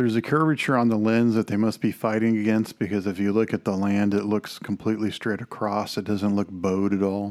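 A man speaks at a fairly quick pace with hardly any pauses, in a Texan accent. His intonation is fairly even and his loudness very even, on a very clean recording with a silent background. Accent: Texan American. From Texas. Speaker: film podcast host. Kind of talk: film commentary monologue. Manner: rambling, unscripted.

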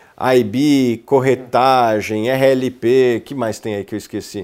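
A man talks in an ordinary speaking voice at medium pitch. His intonation stays fairly even. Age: 30s. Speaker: investment research executive. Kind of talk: casual interview.

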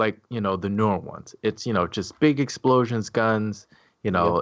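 An unremarkable speaking voice, a man at medium pitch and moderate pace. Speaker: podcast co-host. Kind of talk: casual chat. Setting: video call.

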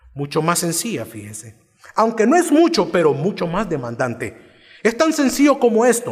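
A man at an extremely high pitch, moderate pace, with noticeable background noise. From El Salvador, Cojutepeque. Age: 40s. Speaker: pastor. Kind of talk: sermon.

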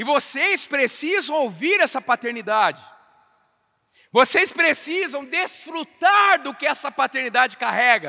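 Speaking at a fairly slow pace, a man with an extremely high pitch uses a raised, projected voice, an animated tone and lively intonation. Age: 40s. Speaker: pastor. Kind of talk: sermon.

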